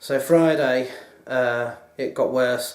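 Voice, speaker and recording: A man speaks at a medium pitch, and audible room echo hangs around his words. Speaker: video blogger. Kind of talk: casual vlog monologue. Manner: hesitant, many fillers.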